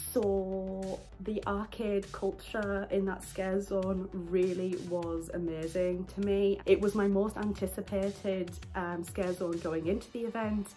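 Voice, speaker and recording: With music in the background, a woman in a British accent speaks at a fairly slow pace in a monotone, flat intonation. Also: medium pitch for a woman. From Britain. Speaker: YouTuber, theme park event reviewer. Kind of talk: casual video review. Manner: casual, with frequent fillers (um, uh).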